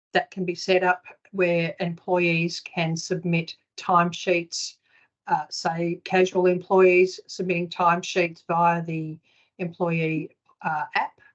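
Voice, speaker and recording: Very slow pace with fairly even intonation. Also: woman, fairly low pitch for a woman. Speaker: software consultant. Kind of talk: webinar presentation.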